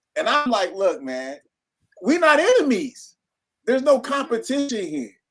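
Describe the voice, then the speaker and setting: Loud, animated voice of a man at an extremely high pitch and a fairly slow pace. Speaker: minister. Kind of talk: casual chat.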